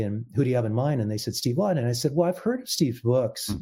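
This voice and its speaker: A man with an American accent speaks at a medium pitch, his voice somewhat breathy. The recording is very clean, with a silent background. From US Pacific Northwest, Portland Oregon. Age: 60s. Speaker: musician and composer. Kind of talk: interview.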